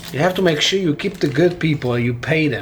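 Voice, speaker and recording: Somewhat breathy, a man with an Italian accent talks at a fairly quick pace with lively intonation. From Italy. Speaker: PC builder and YouTuber. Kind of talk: casual talk during a hardware build video. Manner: halting, with many fillers and repetitions.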